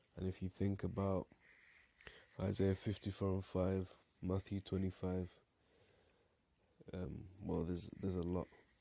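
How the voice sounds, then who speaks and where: A man's very deep, low voice, dark and mellow in tone, mumbling at a moderate pace with a flat, monotone delivery, on a very clean recording with a silent background. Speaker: Bible teacher. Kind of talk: bible study talk.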